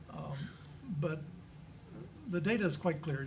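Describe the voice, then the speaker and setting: The man's voice sits at a fairly high pitch. Audible room echo and noticeable background noise surround it. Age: 70s. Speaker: panelist at church discussion on aging. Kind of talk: panel discussion. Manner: halting, many fillers and repetitions.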